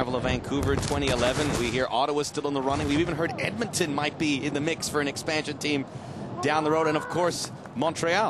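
The voice is animated and excited, moving at a fairly quick pace with very even loudness. Noticeable background noise runs underneath. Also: man, fairly high pitch for a man. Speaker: play-by-play commentator. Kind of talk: live sports commentary, broadcast highlights. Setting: TV broadcast. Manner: fast, animated, excited play-by-play delivery.

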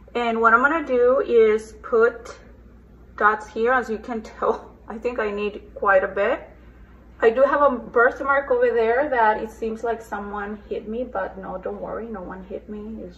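A woman with a normal speaking voice speaks fairly slowly at a fairly high pitch, her intonation fairly even but her loudness swinging widely. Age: 40s. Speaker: beauty vlogger. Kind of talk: makeup tutorial. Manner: casual chatty.

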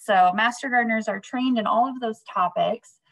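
In a somewhat breathy, fairly high voice, a woman speaks at a moderate pace against a quiet background. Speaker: consumer horticulture specialist; presenter. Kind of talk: educational webinar presentation. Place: office. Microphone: webcam.

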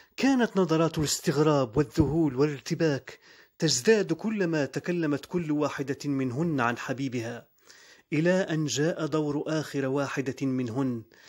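A normal speaking voice from a man, fairly high in pitch with ordinary pitch variation, at a fairly slow pace on a very clean recording with a silent background. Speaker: voice-over artist. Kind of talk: short story reading.

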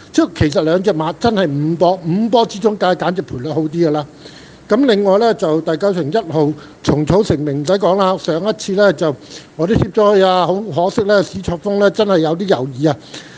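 Noticeable background noise sits behind a man speaking fairly quickly in a high voice with ordinary pitch variation. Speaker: horse racing tipster. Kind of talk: casual chat.

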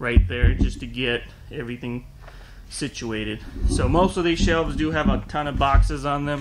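Delivered at a fairly slow pace, the speech comes with noticeable background noise. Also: man. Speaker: small online parts seller. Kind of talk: casual tour narration. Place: factory. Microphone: phone near.

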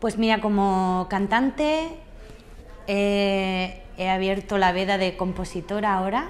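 The speech comes at a very slow pace with ordinary pitch variation and very even loudness over light background noise. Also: woman. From Andalusia, southern Spain. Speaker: singer and comedian. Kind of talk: interview answer.

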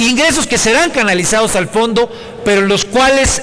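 Here a man talks at an extremely high pitch, with ordinary pitch variation. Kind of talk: parliamentary speech. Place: hall. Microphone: podium.

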